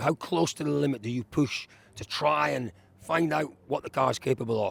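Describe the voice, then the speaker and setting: The speaker has a British accent and vocal fry, with lively intonation. The sound is dry and close with no echo. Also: man. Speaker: rally reporter. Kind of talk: live interviews.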